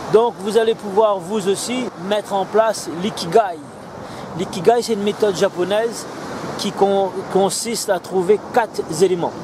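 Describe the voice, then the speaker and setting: A man speaks at a high pitch and a fairly slow pace, with long, frequent pauses. The sound is dry with no echo, though background noise is noticeable. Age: 40s. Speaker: business coach selling online training; entrepreneurship coach. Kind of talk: sales pitch; motivational vlog talk to camera. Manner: animated.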